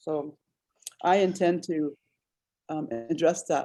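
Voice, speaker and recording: With music in the background, a woman speaks at a fairly low pitch and with fairly even intonation. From Shell Creek District, MHA Nation, North Dakota. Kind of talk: conference call Q&A. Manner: halting, many fillers.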